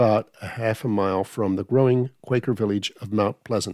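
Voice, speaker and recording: A man's normal speaking voice at a medium pitch and moderate pace, with ordinary pitch variation and a dry, close sound with no echo on a very clean recording, silent background. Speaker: audiobook reader. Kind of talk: audiobook reading of a history book. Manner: formal; measured.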